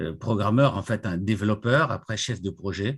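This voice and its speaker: The recording is very clean, and the background is silent. A man speaks at a fairly slow pace. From Congo-Brazzaville (Pointe-Noire). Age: 60s. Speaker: retired IT director, association president. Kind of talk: interview.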